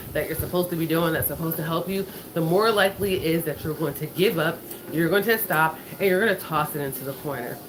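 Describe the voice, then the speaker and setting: A woman with a fairly low voice talks at a fairly quick pace. Noticeable background noise is present. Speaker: finance and lifestyle vlogger. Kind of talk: casual motivational talk while walking. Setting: on a walking pad at home. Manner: fast.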